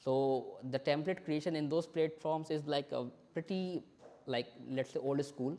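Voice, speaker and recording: With an Indian accent, a man speaks in a dark, mellow tone with fairly even intonation. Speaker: software developer and company founder. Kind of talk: tech talk demo at a meetup. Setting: live-streamed meetup presentation. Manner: fast.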